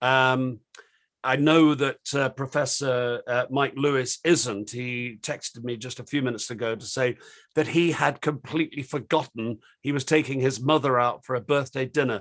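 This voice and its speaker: Against a quiet background, a man speaks at a medium pitch. His pace is moderate and his intonation fairly even. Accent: British. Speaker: online discussion host. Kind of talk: panel discussion moderation. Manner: hesitant, many fillers.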